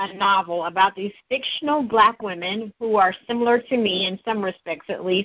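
At a moderate pace, a woman speaks in an unremarkable speaking voice with fairly high pitch. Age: 40s. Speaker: journalist and author. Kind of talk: interview.

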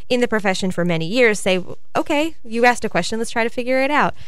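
A woman talks at a very fast pace with lively intonation amid noticeable background noise and audible room echo. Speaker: radio host, education coordinator. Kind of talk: radio interview. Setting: radio studio.

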